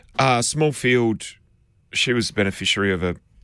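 A man with an Australian accent speaks at a moderate pace with ordinary pitch variation on a very clean recording with a silent background. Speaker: racing analyst. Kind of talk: radio panel discussion.

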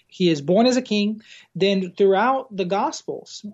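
A man with a Portuguese accent speaks at a high pitch. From Brazil. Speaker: campus pastor. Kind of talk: casual interview conversation.

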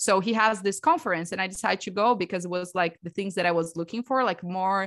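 A woman speaks with a Brazilian Portuguese accent at a medium pitch. Her tone is bright and sharp, with ordinary pitch variation over a quiet background. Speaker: breathwork coach and theta healer. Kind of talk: podcast interview.

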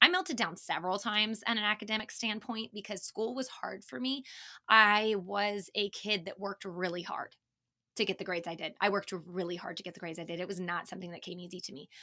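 A woman talks very fast at medium pitch with ordinary pitch variation and big swings in loudness. Her tone is bright and sharp, on a very clean recording with a silent background. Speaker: parenting podcast host. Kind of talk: casual solo monologue. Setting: home recording in closet.

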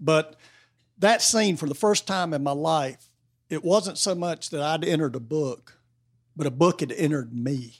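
With an Appalachian accent, a man speaks in a fairly high voice at a moderate pace, with ordinary pitch variation and long, frequent pauses. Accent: US Southern (Appalachian North Carolina). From North Carolina. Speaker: novelist. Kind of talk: casual interview. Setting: bookstore with live audience. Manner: halting, many fillers.

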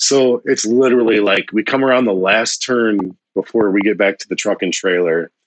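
Spoken at a moderate pace with hardly any pauses, this voice has a US Midwestern accent, ordinary pitch variation, and a dry, close sound with no echo. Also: man, fairly low pitch for a man. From Ohio, rural. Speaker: recruiter. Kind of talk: casual chat.

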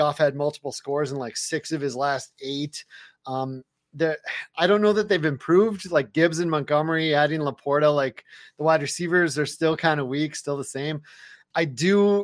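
Over a quiet background, a plain, everyday voice moves at a moderate pace with ordinary pitch variation. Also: man. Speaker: fantasy football analyst. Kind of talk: casual interview chat. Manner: laid-back.

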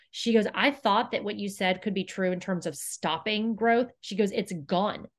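In an unremarkable speaking voice, a woman with an American accent talks at a moderate pace and medium pitch, with ordinary pitch variation, hardly any pauses and a quiet background. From Houston, Texas. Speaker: company co-founder. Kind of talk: interview.

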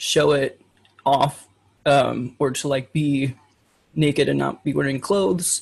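Somewhat breathy and fairly high in pitch, this man's voice keeps a fairly even intonation. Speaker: online adult content creator. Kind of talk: casual chat.

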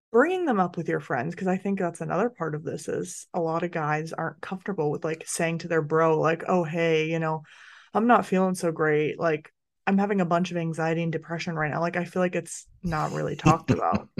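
Against a quiet background, a woman with a normal speaking voice talks at a fairly quick pace, her fairly low pitch holding fairly even intonation. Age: 30s. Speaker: podcast host. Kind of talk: casual chat.

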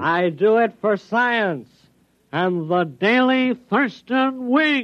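Using a put-on character voice, a man speaks at a high pitch with lively intonation. His pace is very slow. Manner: mock-heroic, playful.

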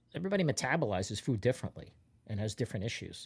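A man's somewhat breathy voice at a very fast pace, with very wide pitch swings, in a very clean recording with a silent background. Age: 50s. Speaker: comedian. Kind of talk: casual chat.

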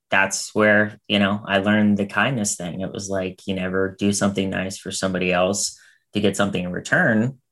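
A man's voice sits fairly low in pitch. His delivery is monotone and flat in intonation. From US, Pittsburgh. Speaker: producer and talent manager. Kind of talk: casual interview chat. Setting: video call.

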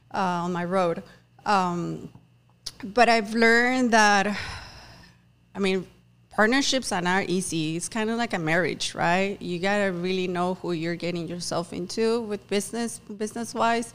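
The speaker, with a Spanish accent, talks at a fairly slow pace with ordinary pitch variation. The recording is very clean, with a silent background. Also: woman, medium pitch for a woman. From Mexico, Tamaulipas. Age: 30s. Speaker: business owner. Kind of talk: casual interview.

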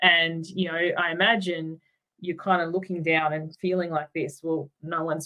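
With an Australian accent, a woman speaks at a fairly low pitch. Her intonation is fairly even and her pace moderate. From Tasmania, Australia. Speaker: life coach. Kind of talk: interview.

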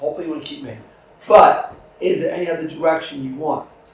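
Talking at a very fast pace, a man is heard. There is noticeable background noise. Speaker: podcast host. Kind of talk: casual interview. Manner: talkative, upbeat.

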